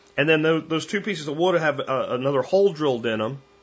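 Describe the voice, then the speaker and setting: With an American accent, a man speaks fairly quickly in a plain, everyday voice, his fairly high pitch showing ordinary variation. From Pennsylvania. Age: 40s. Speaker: podcast host. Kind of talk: casual monologue.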